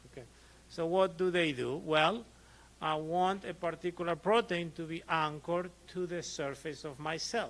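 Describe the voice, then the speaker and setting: A high-pitched man with an Argentine accent, fairly even intonation and a moderate pace. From Argentina. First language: Spanish. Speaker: physician. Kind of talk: lecture. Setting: conference presentation with audience. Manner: conversational, frequent 'okay' check-ins.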